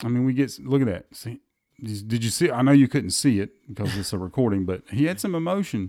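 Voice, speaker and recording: Talking at a very fast pace with lively intonation, this voice has a dark, mellow tone and a Southern US accent. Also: man, medium pitch for a man. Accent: US South. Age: 40s. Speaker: golf podcast host. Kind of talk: casual chat.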